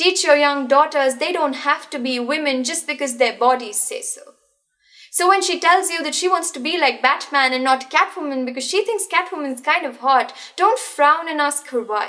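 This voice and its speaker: A woman speaks in a raised, projected voice at a high pitch. Her pace is moderate, with music playing behind her. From India. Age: young. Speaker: spoken word poet. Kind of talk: slam poetry performance.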